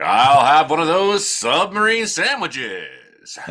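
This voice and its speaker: Raising and projecting his voice, a man puts on a high-pitched character voice with lively intonation at a fairly slow pace. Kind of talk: radio announcer voice.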